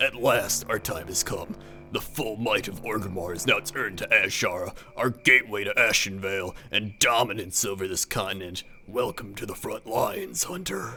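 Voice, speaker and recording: A man's put-on character voice, fairly low in pitch, at a moderate pace over clear background noise. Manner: gruff, militaristic.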